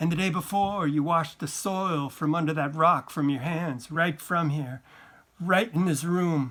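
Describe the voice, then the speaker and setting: The man uses a put-on character voice at a fairly high pitch. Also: moderate pace, ordinary pitch variation. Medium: read story. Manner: tense, accusing.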